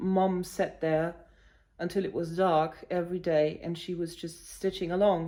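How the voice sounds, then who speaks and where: A woman's dark, mellow tone with monotone, flat intonation, in a German accent at a fairly slow pace. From Germany, village near Hanover. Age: 40s. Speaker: cross-stitch vlogger. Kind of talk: casual vlog talk. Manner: hesitant, many fillers.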